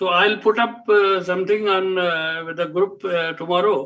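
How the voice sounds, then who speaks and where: At a moderate pace, a man with a high pitch speaks with fairly even intonation. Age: 70s. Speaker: panel speaker. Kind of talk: online panel discussion. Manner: halting, many fillers.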